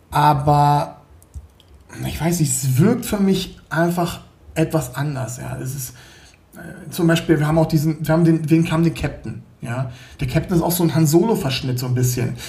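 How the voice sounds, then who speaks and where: Over noticeable background noise, a man speaks with long, frequent pauses. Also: fairly high pitch for a man, ordinary pitch variation, moderate pace. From Berlin, Germany. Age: 40s. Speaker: 3D graphics artist and indie game developer. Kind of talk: casual interview. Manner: hesitant, many fillers.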